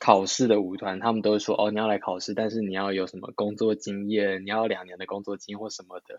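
Man with an unremarkable speaking voice, fairly low in pitch. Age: 20s. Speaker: dancer. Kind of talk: casual interview chat.

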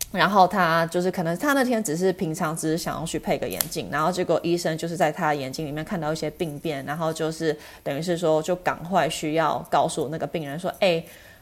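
Talking at a fairly quick pace with hardly any pauses, a woman uses a fairly low pitch and ordinary pitch variation. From US West Coast, Los Angeles. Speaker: eye doctor. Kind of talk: interview. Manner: halting, many fillers.

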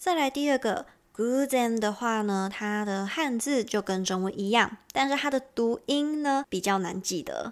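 Speaking with a Taiwanese accent, a woman with a fairly high pitch moves at a fairly slow pace with hardly any pauses and lively intonation, on a very clean recording with a silent background. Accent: Taiwanese Mandarin. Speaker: podcast host and Japanese teacher. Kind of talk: language lesson.

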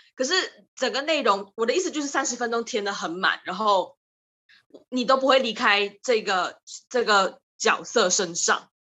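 With a plain, everyday voice, a woman speaks at a moderate pace, using a fairly high pitch and lively intonation. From Malaysia. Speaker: drama student. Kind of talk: casual chat.

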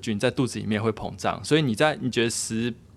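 Very fast talk from a man at medium pitch, with ordinary pitch variation. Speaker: podcast co-host, father. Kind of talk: casual chat. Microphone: too quiet, far from mic.

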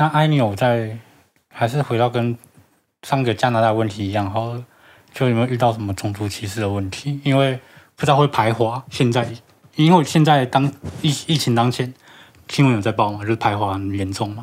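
With long, frequent pauses, a man speaks at a medium pitch with ordinary pitch variation. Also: fairly quick pace, very clean recording, silent background. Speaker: podcast co-host. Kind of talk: casual chat.

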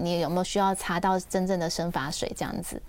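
On a very clean recording with a silent background, a woman with a medium pitch speaks at a very fast pace. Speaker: dermatologist and author. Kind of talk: radio interview. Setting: radio studio, also streamed live. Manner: gentle, soft-spoken.

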